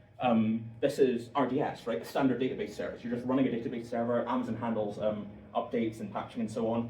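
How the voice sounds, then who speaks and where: Amid noticeable background noise and audible room echo, a man speaks at a very fast pace in a medium pitch with monotone, flat intonation. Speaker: software engineer giving guest lecture. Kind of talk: lecture.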